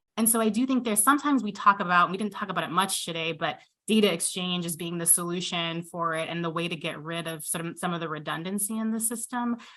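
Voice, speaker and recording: A woman speaks loudly in an American accent, her tone bright and sharp and her pitch fairly low. She talks very fast with hardly any pauses and ordinary pitch variation. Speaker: physician and health care leader. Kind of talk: panel discussion.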